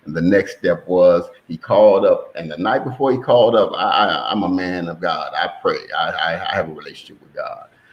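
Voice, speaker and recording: With an American accent, a man talks at a fairly quick pace, his loudness swinging widely over noticeable background noise. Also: hardly any pauses. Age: 60s. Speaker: son of a brewery founder. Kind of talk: podcast interview.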